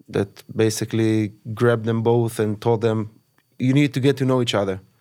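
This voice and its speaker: At a moderate pace and medium pitch, a man talks with an Israeli accent and fairly even intonation. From Israel, kibbutz on the Gaza border. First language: Hebrew. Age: 40s. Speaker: massacre survivor. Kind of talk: testimony. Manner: halting.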